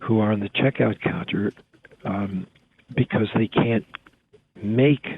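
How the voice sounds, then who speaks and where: In an American accent, a man talks with a fairly low pitch. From US Northeast, Springfield, Massachusetts. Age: 70s. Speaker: writer and novelist. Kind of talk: interview conversation. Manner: halting, many fillers.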